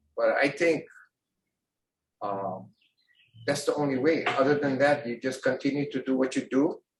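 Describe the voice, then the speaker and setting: A man talks at a moderate pace with long, frequent pauses and a somewhat breathy voice. His pitch is fairly high, with ordinary variation. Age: 70s. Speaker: temple member and karate teacher. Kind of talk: casual chat. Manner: halting.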